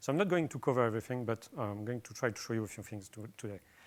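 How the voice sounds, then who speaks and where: Speaking with ordinary pitch variation, a man keeps to a medium pitch. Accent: French. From France. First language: French. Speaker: software developer. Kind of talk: conference talk. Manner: hesitant, many fillers.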